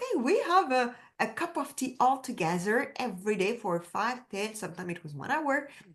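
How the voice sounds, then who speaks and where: A woman talks with a French accent. Her pitch is fairly high. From France, Paris. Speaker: women's empowerment coach. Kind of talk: interview. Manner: animated.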